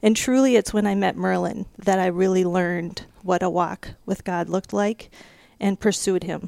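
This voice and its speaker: A woman with a dark, mellow tone speaks at medium pitch and a moderate pace with fairly even intonation, in a very clean recording with a silent background. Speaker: personal banker. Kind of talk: casual chat.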